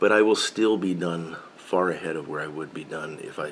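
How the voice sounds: A man talks at a fairly slow pace. His pitch sits low.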